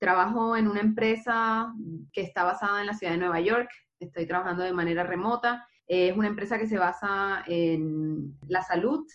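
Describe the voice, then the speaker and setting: At a moderate pace, a woman talks in a plain, everyday voice, medium in pitch with ordinary pitch variation. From Barranquilla, Colombia. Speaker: software engineer. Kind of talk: casual chat.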